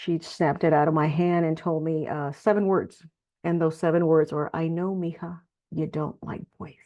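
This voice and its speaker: A woman's fairly low voice, monotone and flat, at a moderate pace. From Texas. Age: 60s. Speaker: nonprofit leader. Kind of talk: testimony.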